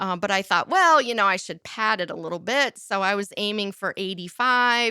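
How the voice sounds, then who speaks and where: In a very clean recording with a silent background and a dry, close sound free of echo, a woman with a slight Midwestern accent speaks at a moderate pace in a bright, sharp tone. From US Midwest, south of Chicago. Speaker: interfaith minister and world record holder. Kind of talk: interview. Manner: casual.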